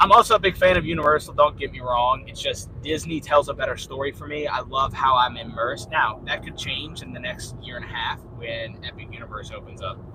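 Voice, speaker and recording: A man speaks at a fairly quick pace with hardly any pauses. His loudness swings widely, and there is noticeable background noise. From Louisiana. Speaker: livestreamer. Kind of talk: casual live chat reading viewer comments. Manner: animated.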